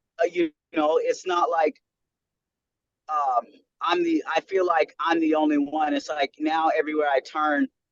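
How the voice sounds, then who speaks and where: A man with an American accent, fairly high-pitched, at a moderate pace with long, frequent pauses, fairly even intonation, very even loudness and a dry, close sound with no echo. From US South. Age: 30s. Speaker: podcast guest. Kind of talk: casual interview.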